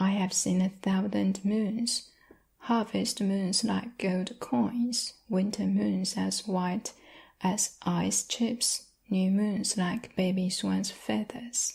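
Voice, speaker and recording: A woman talks very slowly at a medium pitch, her loudness very even and her voice somewhat breathy. The tone is dark and mellow, and the recording is very clean with a silent background. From China. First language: Chinese. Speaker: ASMR creator. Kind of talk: love letter reading.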